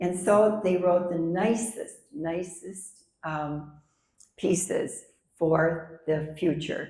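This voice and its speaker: A somewhat breathy woman's voice, fairly low in pitch, with a dark, mellow tone, fairly even intonation and a very slow pace, plus audible room echo. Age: 80s+. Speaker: author. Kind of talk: book discussion.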